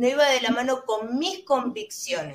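A woman speaks with an Argentine accent at a moderate pace. Her voice sits high in pitch. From Argentina. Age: 30s. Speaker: vape shop owner and vaping advocate. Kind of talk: panel discussion.

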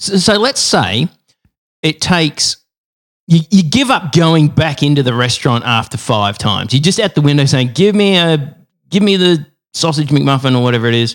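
A man with an Australian accent talks at a moderate pace. His intonation is lively, and his loudness stays very even. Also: fairly high pitch for a man. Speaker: podcast co-host.

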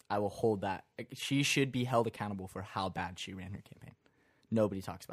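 In a very clean recording with a silent background, a man with an ordinary speaking voice talks at a fairly low pitch, with ordinary pitch variation and big swings in loudness. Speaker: podcast co-host. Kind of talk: casual chat.

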